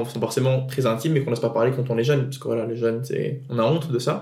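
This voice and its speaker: At a very fast pace, a man with a medium-pitched, dark, mellow, somewhat breathy voice speaks with fairly even intonation over audible room echo. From Tunisia. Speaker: podcast guest. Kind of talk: personal testimony. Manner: halting.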